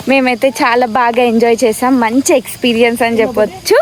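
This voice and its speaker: Noticeable background noise sits behind the woman as she talks in a high voice. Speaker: vlogger. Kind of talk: casual vlog narration.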